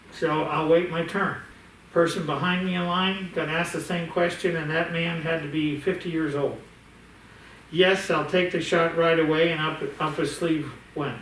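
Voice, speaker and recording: Over noticeable background noise and audible room echo, a man talks at a moderate pace in a high pitch. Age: 60s. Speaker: bank executive. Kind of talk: casual chat. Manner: animated.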